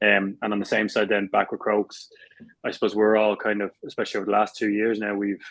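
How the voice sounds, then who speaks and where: A man with a South Dublin accent, fairly low in pitch, very fast and monotone, flat in intonation. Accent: South Dublin accent, teased by teammates. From Ireland, South Dublin. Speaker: Gaelic football player. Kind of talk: interview. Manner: hesitant, many fillers and repeats.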